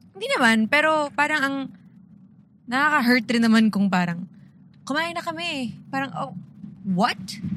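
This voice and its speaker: A woman speaks at a moderate pace in a high voice, her pitch swinging very widely. Long pauses come often, over noticeable background noise. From Philippines, Antipolo. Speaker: podcast co-host. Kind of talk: casual chat. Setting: in a car.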